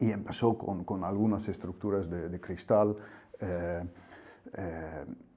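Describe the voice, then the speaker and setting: A man's very deep, low voice with a dark, mellow tone and a Dutch accent, very slow and fairly even in intonation, broken by long, frequent pauses. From Netherlands. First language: Dutch (speaking Spanish). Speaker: agricultural technical expert. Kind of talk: interview. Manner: halting with fillers.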